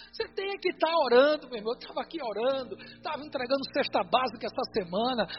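Words rush out very fast while noticeable noise fills the background. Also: hardly any pauses. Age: 50s. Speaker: pastor. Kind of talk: sermon.

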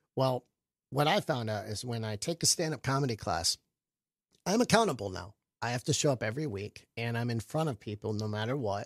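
An ordinary speaking voice, this man with an American accent talks at a fairly quick pace and medium pitch with lively intonation, sounding dry and close with no echo on a very clean recording with a silent background. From Michigan and Florida. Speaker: comedian. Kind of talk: casual chat. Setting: studio.

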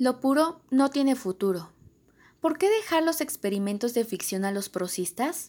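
A woman with a high voice whose pitch swings very widely. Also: fairly slow pace. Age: 20s. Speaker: volunteer audiobook reader. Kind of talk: reading aloud.

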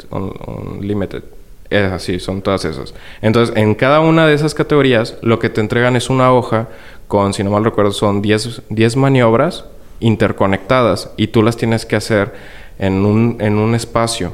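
In an ordinary speaking voice, a man talks at a moderate pace with medium pitch and ordinary pitch variation. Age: 20s. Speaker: model aircraft hobbyist. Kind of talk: interview.

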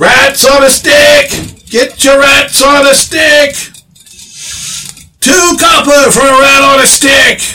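A man keeps to a fairly slow pace in a put-on character voice pitched extremely high. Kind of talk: rough, folksy. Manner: yelling, hawking wares.

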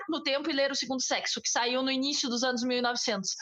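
A woman's high-pitched voice at a moderate pace, with audible room echo and noticeable background noise. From southern Brazil, Bagé (Rio Grande do Sul). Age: 20s. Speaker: podcast co-host. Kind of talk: casual chat.

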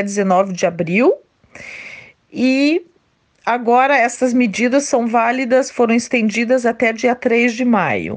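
A woman with a fairly high pitch speaks very slowly, her pitch varying in an ordinary way. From Brazil, interior of São Paulo state. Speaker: job coach. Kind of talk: interview. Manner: halting, many fillers.

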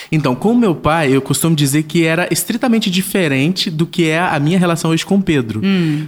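Here is a man with a normal speaking voice, pitched fairly high. He talks at a moderate pace with ordinary pitch variation. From Brazilian Northeast (Paraíba), raised in southern Brazil. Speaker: digital influencer and father. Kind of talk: casual interview.

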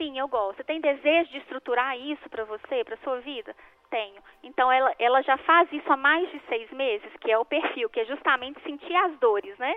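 A woman's high-pitched voice with ordinary pitch variation and big swings in loudness. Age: 40s. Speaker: life coach. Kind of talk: radio interview.

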